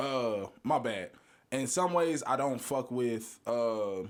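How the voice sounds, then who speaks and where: This man speaks at a medium pitch. His pitch varies in an ordinary way. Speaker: music podcast co-host. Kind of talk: casual chat. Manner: fast.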